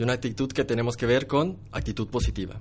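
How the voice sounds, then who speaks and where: Vocal fry marks the speech of a man at medium pitch, talking at a very fast pace with ordinary pitch variation. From Mexico. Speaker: social media manager. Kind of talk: interview. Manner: animated.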